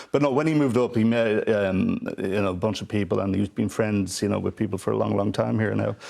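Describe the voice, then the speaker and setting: The speaker has a Dublin accent and a very fast pace. Noticeable background noise is present. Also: man, ordinary pitch variation. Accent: Dublin Irish. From Ireland, Dublin. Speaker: theatre executive producer. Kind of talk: TV panel discussion.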